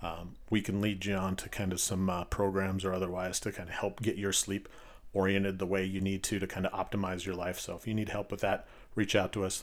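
Talking at a fairly quick pace, a man speaks in a very deep, low voice with monotone, flat intonation. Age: 40s. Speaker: physical therapist and podcast host. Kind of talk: casual solo podcast monologue. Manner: casual, filler-heavy.

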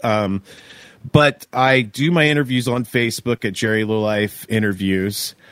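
An unremarkable speaking voice with an American accent, moderate pace and ordinary pitch variation, in a dry, close sound with no echo. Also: man. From Oklahoma. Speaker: touring stage manager and interview show host. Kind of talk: casual interview chat.

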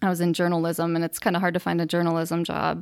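A very fast woman's voice with an American accent, fairly low in pitch, in a dry, close sound with no echo. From northwest Illinois, US Midwest. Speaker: amateur cyclist and fundraiser. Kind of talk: casual interview.

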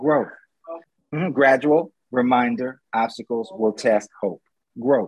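A man with an unremarkable speaking voice talks fairly slowly at a fairly high pitch. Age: 50s. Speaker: motivational speaker. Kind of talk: interview.

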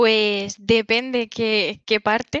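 A woman's fairly high voice with fairly even intonation, the sound dry and close with no echo. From Spain, Alicante (southeast). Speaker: Power BI professional, former Spanish teacher. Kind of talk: casual interview chat. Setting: video call.

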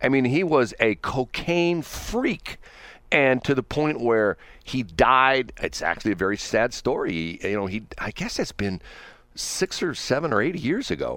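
Recorded very cleanly against a silent background, a man with vocal fry talks at a fairly slow pace and medium pitch, his pitch swinging very widely. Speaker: radio host. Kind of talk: casual chat. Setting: studio.

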